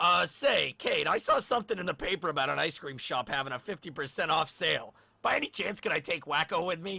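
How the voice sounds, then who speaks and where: A man uses a put-on character voice, pitched high. He talks at a fairly quick pace with hardly any pauses. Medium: audio drama.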